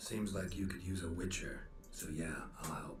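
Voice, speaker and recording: A man uses a put-on character voice with a very deep, low pitch. He keeps a moderate pace over clear background noise. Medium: video game. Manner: laconic, flat.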